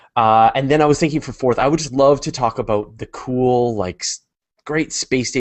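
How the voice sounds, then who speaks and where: An unremarkable speaking voice with a Canadian accent moves at a fairly quick pace with ordinary pitch variation. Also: man. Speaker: podcast co-host. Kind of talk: casual chat.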